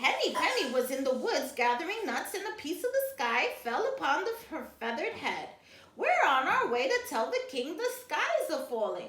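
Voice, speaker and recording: In a put-on character voice with slight echo, a woman speaks at a moderate pace with an extremely high pitch and very wide pitch swings. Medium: read story.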